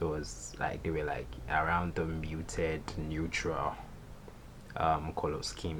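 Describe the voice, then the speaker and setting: With audible room echo, a man speaks fairly slowly in a very deep, low voice with vocal fry and monotone, flat intonation. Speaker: photographer and YouTuber. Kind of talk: tutorial. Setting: recording late at night.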